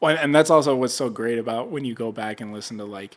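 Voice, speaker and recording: Delivered in a plain, everyday voice with an American accent, the speech moves at a fairly quick pace with fairly even intonation. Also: man. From US South, Nashville. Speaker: podcast host. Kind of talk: casual chat.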